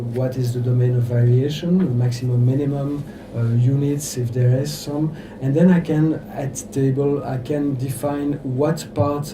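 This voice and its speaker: A man with a French accent speaks fairly slowly with fairly even intonation, amid noticeable background noise and audible room echo. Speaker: electro-acoustic composer. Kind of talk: workshop lecture. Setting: workshop with audience. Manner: halting, many fillers.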